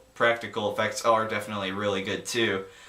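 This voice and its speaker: A medium-pitched man amid noticeable background noise and audible room echo. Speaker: amateur movie reviewer. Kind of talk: casual video review. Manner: halting, stumbling over words.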